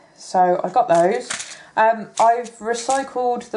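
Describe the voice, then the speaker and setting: A woman speaks with an English accent. Her intonation is lively. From England. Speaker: crafter and hobby YouTuber. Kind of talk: product haul video. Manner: casual, hesitant with many ums.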